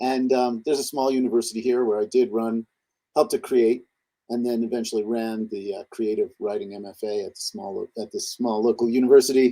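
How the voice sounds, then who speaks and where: A man's dark, mellow tone. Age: 60s. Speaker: poet and scholar. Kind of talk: podcast interview. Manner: hesitant, with many fillers.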